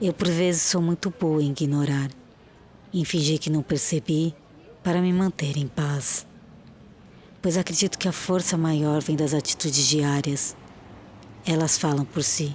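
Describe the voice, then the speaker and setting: Her pitch is very deep and low, and this woman keeps her loudness very even and her intonation fairly even. She speaks at a fairly slow pace with long, frequent pauses. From Brazil. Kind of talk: poetic film voice-over.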